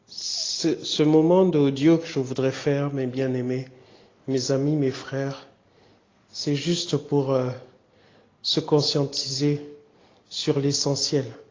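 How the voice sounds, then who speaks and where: Through noticeable background noise, a man speaks very slowly at a fairly high pitch in a monotone, flat intonation. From DR Congo, Kinshasa. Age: 50s. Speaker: pastor. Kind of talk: personal testimony message. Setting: hospital room, audio recording.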